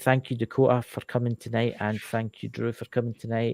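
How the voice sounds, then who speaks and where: With a Scottish Lowland accent, a man speaks at a medium pitch and moderate pace in a dark, mellow tone, the sound dry and close with no echo. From Scotland, lowlands. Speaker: live show host. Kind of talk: casual chat. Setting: livestream with chat. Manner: animated.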